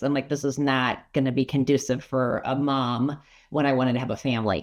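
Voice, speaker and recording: With a Minnesotan accent, a woman speaks in a very deep, low voice. Her intonation is fairly even. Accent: Minnesota. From Colorado (Arvada). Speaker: insurance agent and financial advisor. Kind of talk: casual interview.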